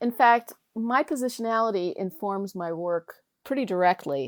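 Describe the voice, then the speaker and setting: In an unremarkable speaking voice, a woman talks at a medium pitch and moderate pace with lively intonation, the sound dry and close with no echo. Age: 60s. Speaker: professor and oral historian. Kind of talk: interview.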